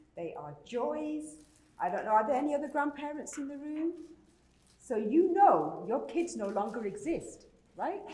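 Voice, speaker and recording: The speaker has a British accent. There is audible room echo. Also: woman. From Britain. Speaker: conference speaker. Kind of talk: conference talk.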